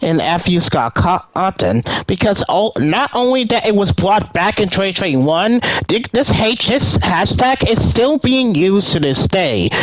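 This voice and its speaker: Through noticeable background noise, a high-pitched man speaks at a fairly slow pace with hardly any pauses, very wide pitch swings, and very even loudness. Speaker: gaming youtuber. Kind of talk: commentary video. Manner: stutters, halting.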